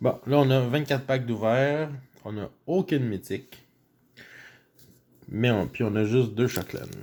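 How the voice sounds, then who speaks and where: A man with a Quebec accent and a medium pitch speaks at a fairly slow pace, with ordinary pitch variation and long, frequent pauses. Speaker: YouTuber opening card packs. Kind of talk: casual pack-opening commentary. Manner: animated.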